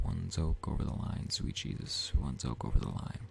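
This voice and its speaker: A man with a very deep, low voice swings his pitch very widely at a moderate pace over noticeable background noise. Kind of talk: ASMR audiobook reading.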